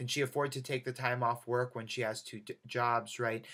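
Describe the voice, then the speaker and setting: Bright and sharp in tone, a man of medium pitch speaks at a fairly quick pace. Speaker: college lecturer. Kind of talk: lecture. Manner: fast.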